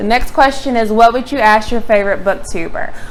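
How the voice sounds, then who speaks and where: Noticeable background noise accompanies a woman's fairly high voice. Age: 30s. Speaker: booktuber. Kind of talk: casual vlog talk. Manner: hesitant, many fillers.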